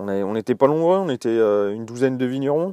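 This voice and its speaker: Lively intonation rides on a dark, mellow tone, with dry, close sound, no echo and a quiet background. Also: man. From Alsace, France. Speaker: winemaker and musician. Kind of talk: casual interview. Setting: outdoors in a garden, birds audible. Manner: hesitant, many fillers.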